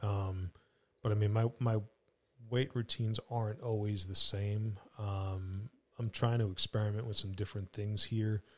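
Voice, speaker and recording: In a very clean recording with a silent background and a dry, close sound with no echo, a man speaks at a moderate pace. His voice is fairly low, somewhat breathy and flat, with monotone intonation. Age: 40s. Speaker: fugitive recovery agent, former police officer. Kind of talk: casual chat.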